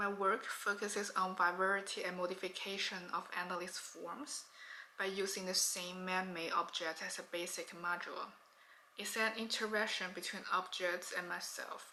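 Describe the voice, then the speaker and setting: A woman speaks in a flat, monotone way at a moderate pace. Room echo can be heard. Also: medium pitch for a woman. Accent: Chinese. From China. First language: Chinese. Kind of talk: pre-recorded artist statement.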